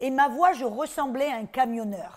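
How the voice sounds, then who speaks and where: A woman's voice with ordinary pitch variation, in a very clean recording with a silent background. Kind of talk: sermon. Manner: animated.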